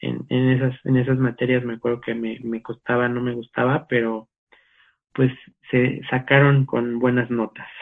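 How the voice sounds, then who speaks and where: A man at medium pitch, fairly slow, with monotone, flat intonation. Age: 30s. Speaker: church volunteer and business analyst. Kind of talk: casual interview chat. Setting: video call.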